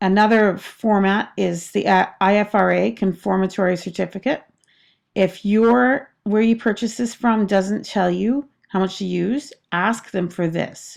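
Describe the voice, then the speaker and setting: A woman talks at a fairly slow pace in an ordinary speaking voice against a quiet background. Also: medium pitch for a woman, ordinary pitch variation. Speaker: small soap maker. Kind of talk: tutorial. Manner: casual.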